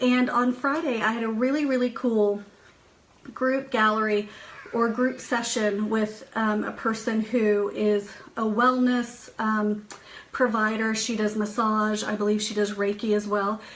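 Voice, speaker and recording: The delivery is monotone and flat at a fairly slow pace. Noticeable background noise can be heard. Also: woman, fairly high pitch for a woman. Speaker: psychic medium and spiritual host. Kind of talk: live stream chat with viewers. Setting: home office, live stream.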